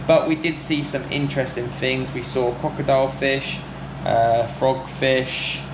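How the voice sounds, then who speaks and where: Speech moves at a moderate pace with ordinary pitch variation over noticeable background noise. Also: man. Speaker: travel vlogger. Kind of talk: casual vlog chat. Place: home room. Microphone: phone near.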